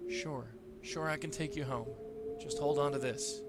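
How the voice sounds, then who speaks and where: Over loud background noise, a man uses a put-on character voice, fairly high in pitch, at a moderate pace. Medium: video game. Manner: casual, familiar.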